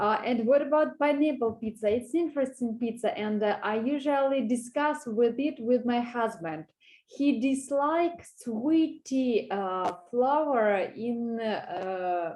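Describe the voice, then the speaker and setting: High-pitched woman's voice with lively intonation at a very slow pace, over a quiet background. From Russia. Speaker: language student. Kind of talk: online language lesson conversation. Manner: halting, many fillers.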